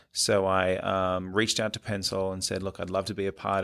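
A man with an Australian accent talks at a moderate pace with a very deep, low pitch. The recording is very clean, with a silent background. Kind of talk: interview. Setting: studio.

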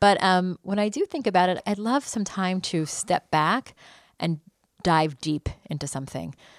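A woman with an ordinary speaking voice and an American accent, medium pitch, lively intonation and moderate pace, in a dry, close sound with no echo and a quiet background. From United States. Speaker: journalist. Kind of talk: interview.

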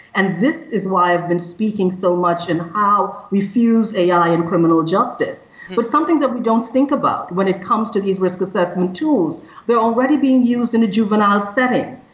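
A woman speaks with lively intonation and very even loudness. Noticeable background noise runs underneath. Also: medium pitch for a woman, moderate pace. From Trinidad and Tobago. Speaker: criminologist and AI ethics consultant. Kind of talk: interview conversation. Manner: energetic.

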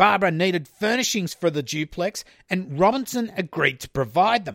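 Here a man speaks with an Australian accent in a high pitch. The recording is very clean with a silent background, dry and close with no echo. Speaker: true crime podcast host. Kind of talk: scripted narration. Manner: casual, laughs often.

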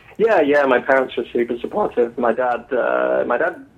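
Using an English accent, a man talks at a moderate pace. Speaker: novelist. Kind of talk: interview.

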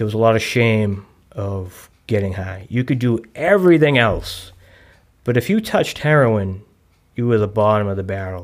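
This man has a medium pitch and speaks with a Boston accent at a moderate pace. His pitch variation is ordinary, and the recording is very clean against a silent background. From South Boston, Massachusetts. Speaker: person in long-term recovery. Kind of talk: recovery testimony. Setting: studio at a recovery center.

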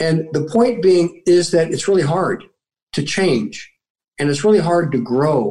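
Somewhat breathy, a man speaks in a dark, mellow tone with ordinary pitch variation. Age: 60s. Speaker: military veteran and motivational speaker. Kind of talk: interview.

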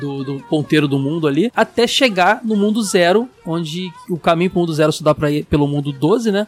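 A man talks at a moderate pace with lively intonation, his voice dry and close with no echo against noticeable background noise. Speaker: podcast host. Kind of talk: casual chat. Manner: animated.

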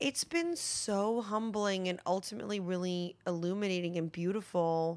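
A normal speaking voice at a moderate pace, with fairly even intonation, very even loudness and hardly any pauses. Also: woman, medium pitch for a woman. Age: 30s. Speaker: actress and writer. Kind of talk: casual interview.

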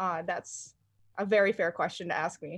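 The very clean recording, silent in the background, captures a woman with an American accent and ordinary pitch variation. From US Midwest, North Central Illinois. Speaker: art professor and artist. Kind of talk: casual chat.

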